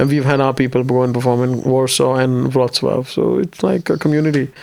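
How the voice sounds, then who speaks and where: A man with a Marathi accent speaks at a fairly quick pace in monotone, flat intonation. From India, Maharashtra (Mumbai region). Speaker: stand-up comedian. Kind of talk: casual interview chat.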